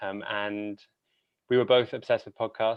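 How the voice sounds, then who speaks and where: A man with a British accent. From Britain. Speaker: podcast host and opera singer. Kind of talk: conference talk. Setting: conference stage.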